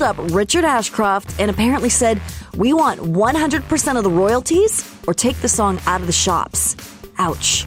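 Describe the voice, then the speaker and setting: Music behind a moderately paced female voice. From Canada. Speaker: radio host and voice-over artist. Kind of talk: commercial reads and radio links.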